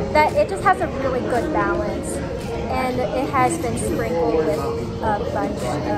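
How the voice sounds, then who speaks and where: Loud music plays in the background. Over it, a woman speaks at a very slow pace. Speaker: food vlogger. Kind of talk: casual vlog chat. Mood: cheerful, relaxed. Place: cafe. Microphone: phone near.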